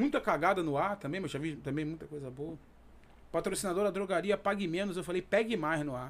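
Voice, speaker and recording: This is a man talking. His pace is fairly quick. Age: 30s. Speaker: radio sports reporter. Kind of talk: casual interview chat.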